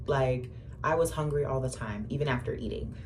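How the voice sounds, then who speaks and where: At a moderate pace, a woman talks in a space with audible room echo. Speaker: vlogger. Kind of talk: casual vlog storytelling. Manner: chatty, many fillers.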